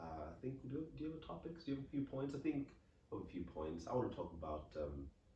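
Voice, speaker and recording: Speaking very fast with an English accent, a man uses a medium pitch and very wide pitch swings. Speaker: podcast co-host. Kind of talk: casual chat.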